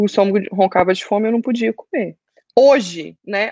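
This is a woman with an ordinary speaking voice, medium in pitch and fairly quick in pace. Her intonation rises and falls normally, and the sound is dry and close with no echo. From Brazil, Goiânia. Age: 20s. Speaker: fitness client sharing weight-loss story. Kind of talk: testimony.

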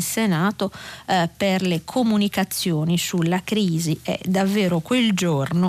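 At a very slow pace, a woman talks with medium pitch and ordinary pitch variation. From Sardinia. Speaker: newspaper journalist. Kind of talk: press review and listener call-in. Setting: radio studio. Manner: calm, measured.

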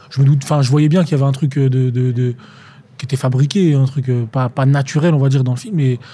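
The voice comes out somewhat breathy, with a dark, mellow tone and a very fast pace. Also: man. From France, Tours. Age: 20s. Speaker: actor. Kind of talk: casual interview chat.

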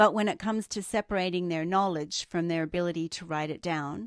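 Speaking at a moderate pace with ordinary pitch variation in an Australian accent, the voice comes through as a dry, close sound with no echo against a quiet background. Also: woman. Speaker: podcast co-host. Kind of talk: casual chat.

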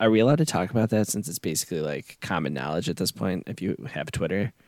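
The sound is dry and close with no echo as a man talks at a very fast pace. His pitch is very deep and low, with vocal fry and lively intonation. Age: 30s. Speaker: podcast co-host. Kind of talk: casual chat.

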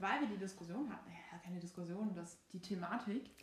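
A woman speaks fairly quickly in a somewhat breathy, medium-pitched voice. There is audible room echo. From Saxony, Germany. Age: 22. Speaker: law student, podcast co-host. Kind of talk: casual chat. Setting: sitting on a bed at home.

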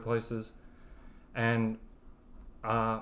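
A man's medium-pitched voice with a strong Southern US accent. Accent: thick Southern. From West Alabama, US South. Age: 20s. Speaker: college student. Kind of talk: testimony. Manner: soft-spoken.

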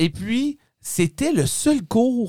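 A man speaks in an animated tone with very wide pitch swings. The sound is dry and close, without echo. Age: 30s. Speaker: podcast host. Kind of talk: casual chat.

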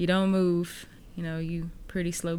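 In an American accent, a woman talks with a fairly low pitch and a flat monotone. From Texas, Houston area. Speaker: podcast host. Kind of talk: casual chat.

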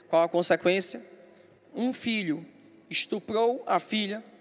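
A man talks at a very slow pace with ordinary pitch variation. Noticeable background noise runs under his voice. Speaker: pastor. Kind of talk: sermon.

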